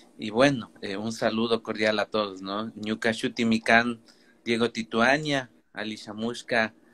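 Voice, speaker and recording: A man's medium-pitched, bright and sharp voice, monotone and flat, at a fairly slow pace. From Ecuador, Kichwa Otavalo raised in the city. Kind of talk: live online talk. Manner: halting, many fillers.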